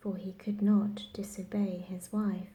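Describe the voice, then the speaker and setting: A soft-spoken, somewhat breathy woman speaks at a medium pitch in a dark, mellow tone. Her pace is very slow. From England. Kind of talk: bedtime story reading.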